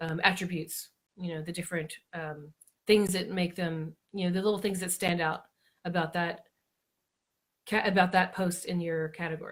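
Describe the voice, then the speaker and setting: A woman speaks at a fairly low pitch in a somewhat breathy, monotone, flat way. Her pace is moderate, with long, frequent pauses. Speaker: blogging coach. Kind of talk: live-stream tutorial. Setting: Facebook Live broadcast.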